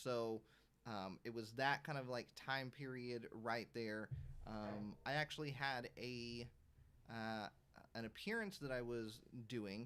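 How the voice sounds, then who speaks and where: A soft-spoken man at a medium pitch and a fairly slow pace. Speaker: YouTuber. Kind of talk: casual live stream chat. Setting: live stream. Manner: quiet, soft-spoken; halting, many fillers. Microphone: audio too quiet, gain maxed.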